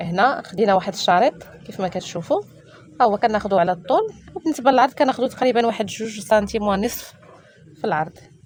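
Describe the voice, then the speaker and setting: Someone with a Moroccan accent talks at a fairly quick pace with lively intonation. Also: woman, fairly high pitch for a woman. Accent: Moroccan Arabic (Darija). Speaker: sewing tutorial YouTuber. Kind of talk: tutorial.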